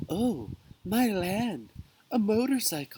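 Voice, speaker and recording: This man uses a put-on character voice with a high pitch. He delivers it at a fairly slow pace. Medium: read story.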